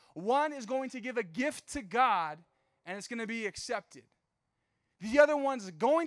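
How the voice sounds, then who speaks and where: In an American accent, a man talks at a high pitch. His tone is animated. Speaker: youth pastor. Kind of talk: youth group sermon. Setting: church stage with live audience, also streamed. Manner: fast talker; animated, casual.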